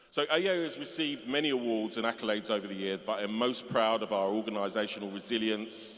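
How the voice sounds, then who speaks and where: Speaking in a London accent, a man talks at a very fast pace with hardly any pauses. His pitch is medium, with ordinary variation. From London (Tottenham, North London). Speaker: music festival organiser, honorary graduate. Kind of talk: acceptance speech. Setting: cathedral ceremony with audience. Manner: hesitant, with fillers.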